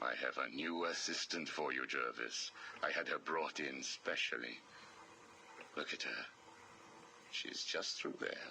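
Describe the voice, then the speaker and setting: A man puts on a character voice over clear background noise, leaving long, frequent pauses. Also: moderate pace. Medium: video game. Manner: smooth, persuasive.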